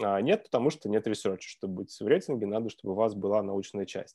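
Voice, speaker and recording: A man's dark, mellow tone at a moderate pace over a quiet background. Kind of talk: webinar presentation. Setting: video call.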